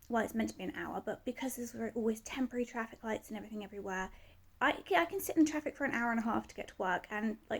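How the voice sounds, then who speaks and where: A woman's very fast, fairly high voice with vocal fry and a British accent. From UK. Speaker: vlogger. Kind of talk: casual rant to camera. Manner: animated, frustrated.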